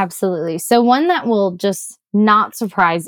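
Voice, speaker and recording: An ordinary speaking voice from a woman, medium in pitch, at a fairly slow pace with ordinary pitch variation. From US Midwest. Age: 20s. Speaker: startup founder and researcher. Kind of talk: interview conversation.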